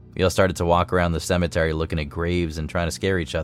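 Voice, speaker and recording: A man speaks with a very deep, low pitch while music plays in the background. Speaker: story narrator. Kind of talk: ghost story telling, hushed, spooky narration. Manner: tense, suspenseful, building dread.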